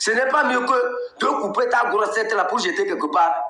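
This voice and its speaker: Very wide pitch swings in a Togolese accent at a moderate pace, with audible room echo. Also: man. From Togo, Kabye. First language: Kabye (speaking French). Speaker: political activist and blogger. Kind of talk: live political commentary. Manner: animated.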